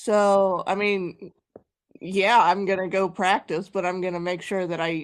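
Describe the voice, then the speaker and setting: With a Kansas accent, a woman speaks at a medium pitch. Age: 30s. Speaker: guest on live stream. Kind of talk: casual chat.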